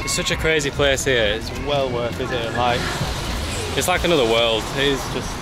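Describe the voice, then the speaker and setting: A man at a moderate pace with ordinary pitch variation, dry sound with no echo, and clear music in the background. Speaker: travel vlogger. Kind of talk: casual vlog chat. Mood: amused, curious. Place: street. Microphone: phone near.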